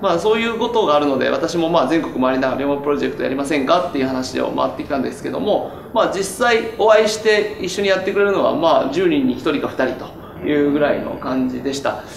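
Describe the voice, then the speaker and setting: A man talks at a very fast pace and a fairly high pitch, with lively intonation and hardly any pauses, amid audible room echo and light background noise. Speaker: interviewer and politician. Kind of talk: panel discussion. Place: studio.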